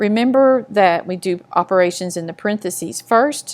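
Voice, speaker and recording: Fairly slow and lively in intonation, a woman has an ordinary speaking voice at a medium pitch. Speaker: math teacher. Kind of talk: tutorial.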